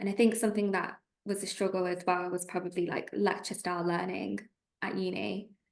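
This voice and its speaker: A woman with a Lancashire accent speaks at a moderate pace and medium pitch in a monotone, flat intonation. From northern England, Preston, Lancashire. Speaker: trainee solicitor. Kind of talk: interview.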